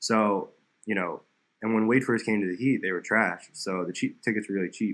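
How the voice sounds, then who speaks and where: With an American accent, a man delivers his lines at a very rapid speed. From South Florida. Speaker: basketball content creator and dunker. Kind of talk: casual chat.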